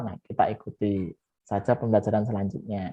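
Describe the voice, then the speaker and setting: The man's delivery moves at a fairly quick pace. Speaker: math teacher. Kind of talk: online lesson. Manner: fast.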